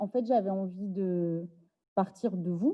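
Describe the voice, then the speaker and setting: Very slow, medium-pitched female speech with ordinary pitch variation. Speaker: activist and speaker. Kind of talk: lecture.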